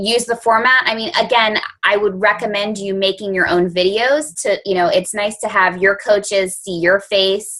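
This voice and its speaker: Hardly pausing, a woman speaks at a medium pitch with fairly even intonation and a bright, sharp tone. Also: moderate pace. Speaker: team leader running coaching call. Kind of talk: team conference call.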